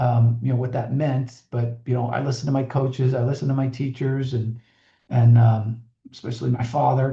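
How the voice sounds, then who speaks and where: A man with an American accent has a somewhat breathy voice and a dark, mellow tone. His pitch is medium and his intonation fairly even. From Buffalo, New York, USA. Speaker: Navy veteran pilot, former pro football player, finance executive. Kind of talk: radio interview answer.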